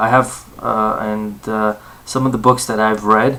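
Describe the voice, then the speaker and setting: A man with an American accent talks at a medium pitch. His intonation is fairly even, and there is noticeable background noise. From Southern California. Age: 20s. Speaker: university student. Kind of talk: self-introduction for a class assignment. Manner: halting, many fillers.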